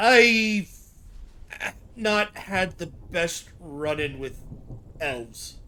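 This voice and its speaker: At a middle pitch, a put-on character voice speaks at a very slow pace with long, frequent pauses. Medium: actual play.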